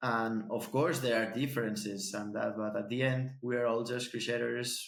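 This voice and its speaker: In a Spanish accent, a man speaks with a medium-pitched voice. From Spain. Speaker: podcast host. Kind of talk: casual chat. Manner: halting, repeats words.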